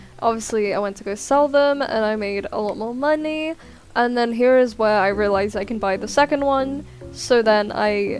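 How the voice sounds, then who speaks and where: Music plays behind a woman talking at a moderate pace in a fairly high voice. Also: ordinary pitch variation. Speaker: gaming YouTuber. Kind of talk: voiceover narration of gameplay. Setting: recorded voiceover while editing. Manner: casual, with fillers.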